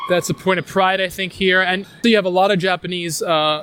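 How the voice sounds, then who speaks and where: Pitched high, a man speaks in a New York accent with fairly even intonation. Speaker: tour guide and travel writer. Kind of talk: casual walking interview. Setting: outdoors, walking through a park. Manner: hesitant, repeats words.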